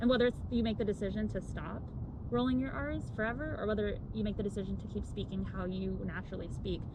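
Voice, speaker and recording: Against noticeable background noise and audible room echo, a woman talks at a very fast pace. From US, Indian-American family. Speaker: vlogger. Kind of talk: casual chat. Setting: outdoors.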